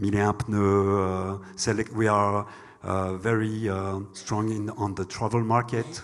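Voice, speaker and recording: A man with a French accent talks at a fairly slow pace in a fairly low, monotone, flat voice. The recording is very clean, with a silent background. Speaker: bank executive. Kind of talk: panel discussion. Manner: halting.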